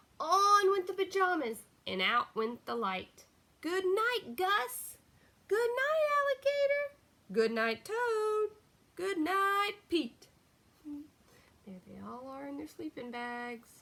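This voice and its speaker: Doing a squeaky, put-on character voice, a woman speaks at a very slow pace, extremely high in pitch, with very wide pitch swings and big swings in loudness. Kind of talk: bedtime story. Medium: read story. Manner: warm, chatty, expressive.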